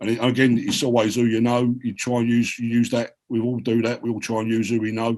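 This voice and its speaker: At a fairly quick pace, a man with a strong South London accent talks at a medium pitch. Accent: heavy South London. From South London (Peckham). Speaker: writer and filmmaker. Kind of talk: panel discussion. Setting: video call. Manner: animated.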